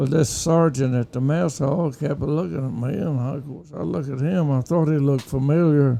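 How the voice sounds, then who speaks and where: This man speaks in an Oklahoma accent with a dark, mellow tone. His pace is moderate and his pitch varies in an ordinary way. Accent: Oklahoma, Southern US. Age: 80s+. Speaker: war veteran. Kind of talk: interview answer.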